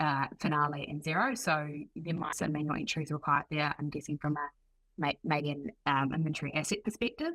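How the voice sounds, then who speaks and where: Talking at a fairly quick pace, a woman has a very deep, low pitch and a bright, sharp tone. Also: ordinary pitch variation. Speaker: product marketer. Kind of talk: webinar.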